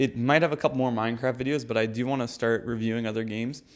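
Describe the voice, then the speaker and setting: A man speaks at a very fast pace and medium pitch. The recording is very clean, with a silent background. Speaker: gaming YouTuber. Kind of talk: tutorial. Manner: casual with fillers. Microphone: mic died, poor substitute audio.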